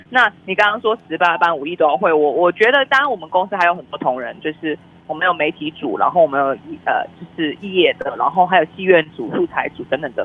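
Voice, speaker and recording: A woman in an animated tone at a very fast pace, with a fairly low pitch, lively intonation, big swings in loudness and noticeable background noise. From Malaysia. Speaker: film publicist. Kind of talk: casual interview. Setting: remote online call. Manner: lively, animated.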